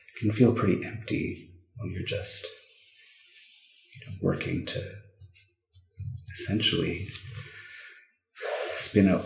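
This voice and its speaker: A soft-spoken man at a fairly slow pace. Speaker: ASMR creator. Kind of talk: soft-spoken ASMR book flip-through. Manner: soft-spoken, comforting.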